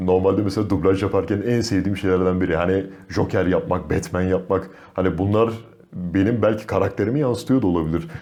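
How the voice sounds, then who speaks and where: Very deep and low in pitch, a man talks at a fairly quick pace with a dark, mellow tone and very even loudness. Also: ordinary pitch variation. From Kars, Turkey. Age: young. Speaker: voice actor and film director. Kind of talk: interview answer.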